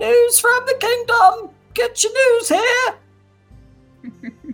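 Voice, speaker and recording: Faint music plays behind a squeaky put-on character voice at an extremely high pitch and a very slow pace. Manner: calling out, hawking.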